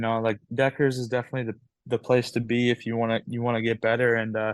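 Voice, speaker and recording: With a slight Canadian accent, a man speaks fairly quickly at a medium pitch in a monotone, flat intonation. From Canada. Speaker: amateur ATV motocross racer. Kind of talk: interview. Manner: halting, many fillers.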